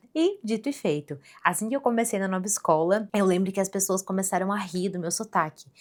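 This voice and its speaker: Lively intonation marks a woman's plain, everyday voice at a fairly quick pace. The recording is very clean, with a silent background. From Rio Grande do Sul, then Santa Catarina (southern Brazil). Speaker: podcaster. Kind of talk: personal storytelling monologue. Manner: casual, conversational.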